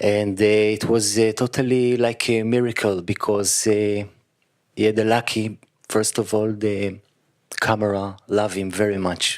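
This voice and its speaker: A man with an Israeli accent speaks at a fairly low pitch and a fairly slow pace, his intonation monotone and flat and his loudness very even, on a very clean recording with a silent background. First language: Hebrew. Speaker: actor. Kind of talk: post-screening Q&A. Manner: halting.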